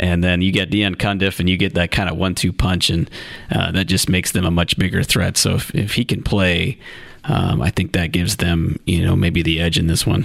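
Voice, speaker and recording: A man with an American accent, a very deep, low pitch and a fairly quick pace, amid noticeable background noise. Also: ordinary pitch variation, very even loudness. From northeast Ohio (Lake County). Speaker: sports journalist co-host. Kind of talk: casual chat. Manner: halting, many fillers.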